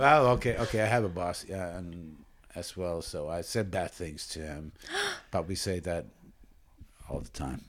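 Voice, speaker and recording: A man with a very deep, low pitch moves at a moderate pace, using lively intonation and long, frequent pauses. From Espoo, Finland. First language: Finnish. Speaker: podcast co-host. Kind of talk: casual chat.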